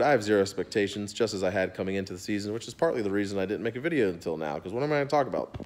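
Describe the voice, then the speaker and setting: A man's voice with very wide pitch swings and a very fast pace. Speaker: sports fan vlogger. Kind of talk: angry sports rant, cursing about a losing team. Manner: exasperated, fired up, ranting with profanity; casual, rambling. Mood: frustrated, sarcastic. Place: home room. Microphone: phone near.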